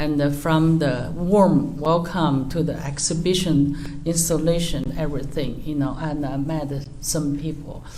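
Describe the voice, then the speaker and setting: In a Chinese accent, a woman speaks at a very deep, low pitch and a fairly slow pace, with audible room echo and noticeable background noise. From China. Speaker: artist. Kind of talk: artist talk. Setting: museum talk with audience. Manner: loud; halting.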